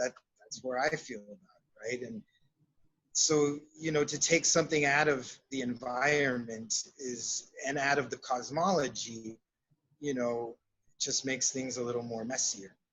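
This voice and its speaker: With an American accent, a man talks at a medium pitch and moderate pace in an unremarkable speaking voice. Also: ordinary pitch variation, big swings in loudness. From South Texas, Laredo. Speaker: shamanic counselor and psychotherapist. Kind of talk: interview.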